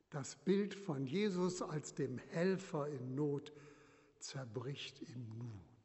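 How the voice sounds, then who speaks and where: Somewhat breathy and fairly high-pitched, a man's voice comes through. He speaks at a very slow pace. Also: lively intonation. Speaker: retired bishop preaching. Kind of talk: sermon in church, measured pulpit delivery, solemn and earnest. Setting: church. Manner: formal; measured, rhetorical, emphatic with repetition.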